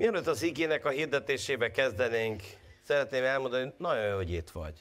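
Lively intonation runs through this man's very fast speech. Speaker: pastor. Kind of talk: sermon. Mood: warm, joking. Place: church. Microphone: lapel.

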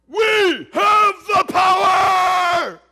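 A put-on character voice is shouting. Its pitch is extremely high.

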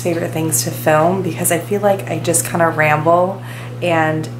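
The pace is moderate. Music can be heard behind the speech. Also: woman. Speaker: vlogger. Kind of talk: casual vlog chat. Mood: warm, relaxed. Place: home room. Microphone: phone near.

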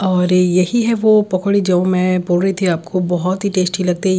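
Speaking at a fairly slow pace, a woman has a dark, mellow tone and monotone, flat intonation. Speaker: home cooking vlogger. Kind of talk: casual vlog chat. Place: kitchen. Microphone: phone near.

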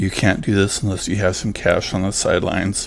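Over noticeable background noise, a man talks at a moderate pace. His voice is very deep and low. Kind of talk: finance talk to camera.

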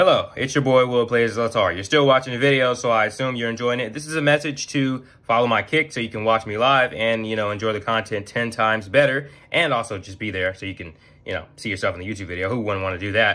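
The man's pitch sits in the medium range and varies an ordinary amount. He talks at a very fast pace. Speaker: reaction video creator. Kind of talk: casual reaction commentary. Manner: animated. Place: home room.

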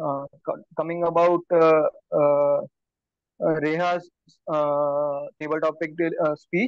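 A man speaks at a very slow pace. The sound is dry with no echo, and the background is quiet. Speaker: table topics evaluator. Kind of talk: evaluation speech at a club meeting. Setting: club meeting room. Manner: hesitant, filler words. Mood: warm, appreciative. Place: home room. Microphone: video call.

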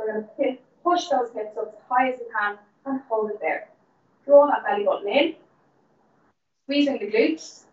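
Amid audible room echo, a woman speaks at a moderate pace and a high pitch with lively intonation, big swings in loudness, and long, frequent pauses. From Ireland. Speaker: fitness instructor. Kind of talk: live-streamed guided Pilates and breathing cool-down class. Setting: in the gym, streamed live via call. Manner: encouraging, repetitive counting down of reps. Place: gym. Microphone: camera far.

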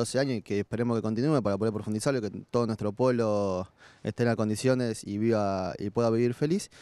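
The delivery is very fast, with a dark, mellow tone. Intonation stays fairly even, and the sound is dry with no echo. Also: man. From Argentina. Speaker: student activist; candidate. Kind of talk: campaign statement. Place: street. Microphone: handheld.

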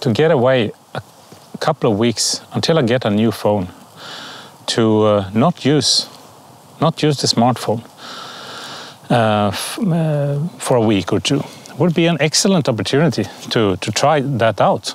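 A man speaks at a fairly slow pace with long, frequent pauses, in a dry recording with no echo. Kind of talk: storytelling to camera. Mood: calm, reflective. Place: forest.

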